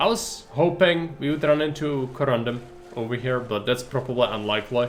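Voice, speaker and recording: A man with a non-native accent speaks at a moderate pace and a medium pitch with ordinary pitch variation. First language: not English. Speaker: video game streamer. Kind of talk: live gameplay commentary. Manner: casual, conversational.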